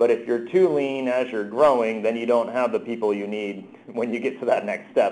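A man with an American accent, medium pitch, moderate pace, ordinary pitch variation and hardly any pauses. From New Jersey. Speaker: company co-founder. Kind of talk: interview. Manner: animated.

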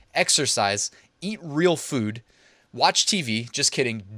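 In a very clean recording with a silent background, a man speaks at a medium pitch in a bright, sharp, animated tone with very wide pitch swings. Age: 30s. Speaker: online business podcaster. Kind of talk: casual tutorial.

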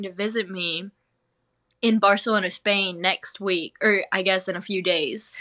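A bright, sharp tone in a Southern US accent, fairly slow and fairly even in intonation, on a very clean recording with a silent background. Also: woman. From North Carolina, US. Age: 20s. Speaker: cheese-rolling champion. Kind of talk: interview.

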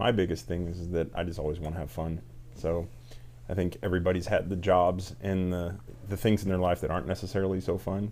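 A man with an American accent talks at a fairly quick pace in a very deep, low pitch, with vocal fry, a dark, mellow tone and ordinary pitch variation. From Indiana. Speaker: cigar shop owner. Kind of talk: casual interview. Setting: cigar shop.

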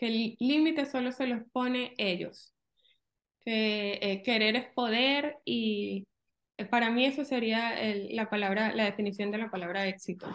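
An ordinary speaking voice, a woman talks at a fairly high pitch and fairly slow pace with ordinary pitch variation against a quiet background. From Venezuela. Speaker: real estate agent. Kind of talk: interview.

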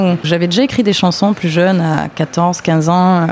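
A woman at a moderate pace, fairly even intonation, noticeable background noise. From southern France, Avignon. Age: 20s. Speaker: singer. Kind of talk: casual interview. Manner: halting, with repetitions.

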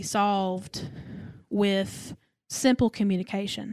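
A woman with an East Tennessee accent, medium-pitched, fairly even in intonation, on a very clean recording with a silent background and a dry, close sound with no echo. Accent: Southern US (East Tennessee). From US South, Knoxville, Tennessee. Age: 20s. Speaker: podcast guest. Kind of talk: casual chat.

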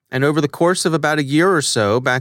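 A plain, everyday voice: a man with an American accent, fairly high pitch, fairly even intonation and fairly quick pace, in a very clean recording with a silent background. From United States. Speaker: podcast host. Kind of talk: interview. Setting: studio.

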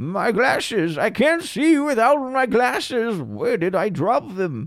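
A man's put-on character voice, high in pitch, at a fairly slow pace. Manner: flustered.

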